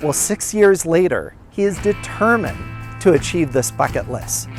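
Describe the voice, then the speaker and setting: Moderately paced speech over music in the background. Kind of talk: documentary narration.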